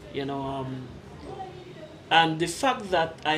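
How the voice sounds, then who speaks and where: With a very deep, low pitch and lively intonation, a woman speaks at a moderate pace amid noticeable background noise and audible room echo. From Trinidad, Diego Martin. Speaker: visitor from the Caribbean. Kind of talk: casual interview. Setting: restaurant.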